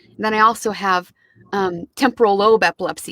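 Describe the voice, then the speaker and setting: In a Midwestern American accent, a woman speaks with a bright, sharp tone and ordinary pitch variation, the sound dry and close with no echo. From Kansas City, USA. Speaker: audiobook narrator. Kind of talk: interview answer.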